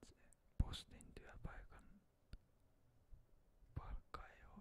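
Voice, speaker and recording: A man speaks in a whisper. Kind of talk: ASMR ramble. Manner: whispered.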